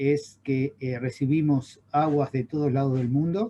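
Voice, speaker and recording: A man with an Argentine accent, somewhat breathy, dark and mellow in tone, medium in pitch, at a fairly slow pace. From Argentina. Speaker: chemical engineer, water quality expert. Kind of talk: webinar lecture. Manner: halting, many fillers.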